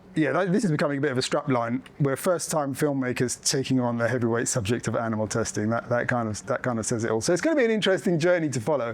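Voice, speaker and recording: A man with an English accent talks at a very fast pace, barely pausing. His pitch sits in the middle range and rises and falls in an ordinary way. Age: middle-aged. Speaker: documentary filmmaker and sanctuary owner. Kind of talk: public talk to an audience. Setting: room with live audience. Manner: soft-spoken; halting, many fillers.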